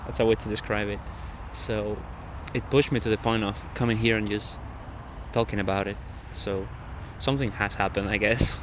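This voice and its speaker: With a non-native accent, a man with a fairly low voice talks at a fairly quick pace with fairly even intonation, broken by long, frequent pauses. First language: not English. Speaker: vlogger. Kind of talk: casual monologue vlog. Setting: outdoors in a park at night. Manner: halting.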